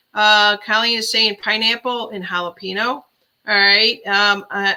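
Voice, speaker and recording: A woman speaks at a moderate pace in a Chicago accent. Her tone is relaxed yet bright and sharp. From Chicago area, Illinois. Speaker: livestream host. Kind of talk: casual live-stream chat. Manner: relaxed, chatty with fillers.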